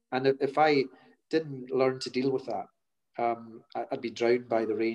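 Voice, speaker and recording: A man talks in a Scottish Highlands accent at medium pitch. His intonation is monotone and flat. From Scotland, Hebrides. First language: Scottish Gaelic. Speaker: chief procurement officer. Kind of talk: interview. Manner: hesitant, repeats words.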